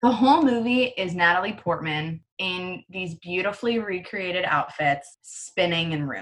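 With hardly any pauses, a woman speaks at a medium pitch with lively intonation. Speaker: podcast co-host. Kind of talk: casual chat. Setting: remote recording, quarantine. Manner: fast talker.

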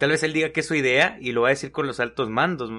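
Speaking at a very fast pace over a quiet background, a man uses a fairly high pitch and a bright, sharp tone. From Mexico. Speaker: podcast co-host. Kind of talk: casual chat.

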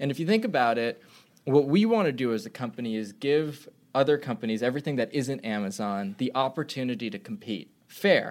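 At a fairly quick pace, a man with an unremarkable speaking voice talks at medium pitch with lively intonation on a very clean recording with a silent background. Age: 20s. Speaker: startup founder and CEO. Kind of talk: interview.

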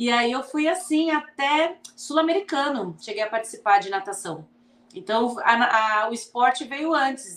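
Lively intonation runs through a woman's high-pitched voice. She talks at a fairly slow pace. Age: 40s. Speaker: sports medicine doctor. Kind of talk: casual interview.

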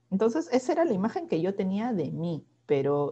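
At a fairly slow pace, a woman speaks at medium pitch in a somewhat breathy voice with a dark, mellow tone. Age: 30s. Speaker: podcast co-host, newspaper journalist. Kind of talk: casual chat.

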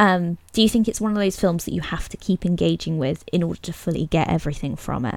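A woman with a fairly low pitch talks at a very fast pace with ordinary pitch variation and hardly any pauses. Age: 20s. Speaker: podcast host. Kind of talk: casual chat.

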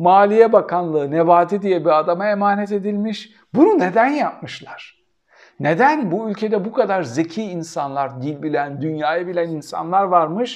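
His tone animated and his intonation lively, a man with a high pitch speaks at a moderate pace. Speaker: political commentator. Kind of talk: solo commentary answering viewer questions.

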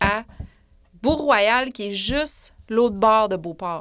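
In a normal speaking voice, a woman talks at a fairly high pitch with ordinary pitch variation. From Quebec City area, Quebec. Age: 40s. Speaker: author. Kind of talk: casual chat. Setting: studio.

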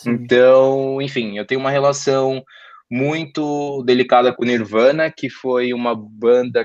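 A man speaking at a very slow pace over a quiet background. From São Paulo, North Zone. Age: 20s. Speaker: podcast guest, communications graduate. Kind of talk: casual interview chat about music.

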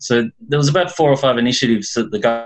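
A man with a normal speaking voice and medium pitch talks at a moderate pace over a quiet background. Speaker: accountant. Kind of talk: group video call discussion. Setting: video call.

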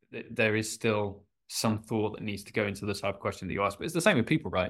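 On a very clean recording with a silent background, a man talks very fast at a medium pitch. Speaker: finance technology commentator. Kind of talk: casual chat.

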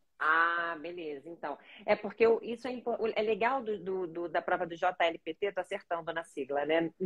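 A woman's fairly low voice with a Carioca accent, ordinary pitch variation, a fairly slow pace, hardly any pauses and a dry, close sound with no echo. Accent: carioca Brazilian Portuguese. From Rio de Janeiro, Brazil. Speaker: language learning coach, neuropsychopedagogue. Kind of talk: live-stream interview.

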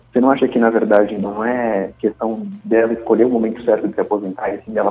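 A man with a fairly low pitch speaks at a fairly quick pace in a flat monotone. Noticeable background noise can be heard. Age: 20s. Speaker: podcast co-host, interviewer. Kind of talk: casual interview.

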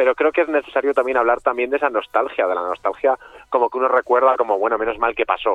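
This man's speech comes at a very fast pace, pitched at a medium level with ordinary pitch variation. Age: 40s. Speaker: author. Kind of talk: radio interview.

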